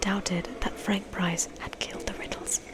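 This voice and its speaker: Soft-spoken whispering at a moderate pace over noticeable background noise. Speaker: ASMR creator, book reader. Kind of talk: casual talk to camera between readings. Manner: soft-spoken, whispery, casual, chatty.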